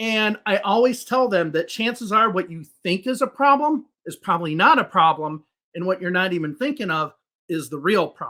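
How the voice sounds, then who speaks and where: A man's raised, projected voice, high in pitch, with a bright, sharp tone. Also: lively intonation, moderate pace. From US Midwest, Chicago. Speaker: English teacher. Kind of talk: podcast interview.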